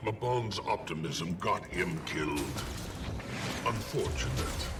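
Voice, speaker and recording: Against loud background noise, a man performs a hoarse put-on character voice, very deep and low, at a fairly slow pace. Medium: game stream. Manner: scornful, superior.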